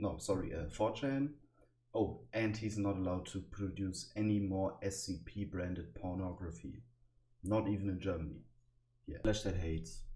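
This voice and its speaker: A man's very deep, low voice, dark and mellow and somewhat breathy, with lively intonation at a moderate pace and audible room echo. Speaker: youtuber explaining internet lore. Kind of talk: casual explainer monologue. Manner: hesitant, many fillers.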